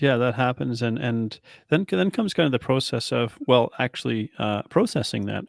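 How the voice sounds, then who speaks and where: A normal speaking voice with lively intonation comes at a moderate pace, recorded with a dry, close sound and no echo. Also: man, medium pitch for a man. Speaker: podcast host and coach. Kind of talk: interview question.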